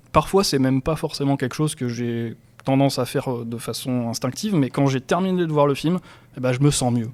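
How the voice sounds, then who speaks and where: An ordinary speaking voice, a man at a fairly quick pace with ordinary pitch variation. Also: medium pitch for a man. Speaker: podcast host. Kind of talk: casual podcast talk.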